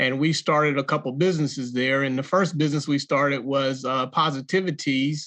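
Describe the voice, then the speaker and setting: Against a quiet background, someone with a Southern US accent talks fairly quickly in a bright, sharp tone with monotone, flat intonation. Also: man. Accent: Southern US, noticeable. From North Carolina (Jacksonville). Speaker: entrepreneur and author. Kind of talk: interview.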